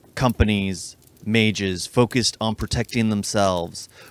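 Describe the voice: A plain read-aloud, intonation fairly level throughout.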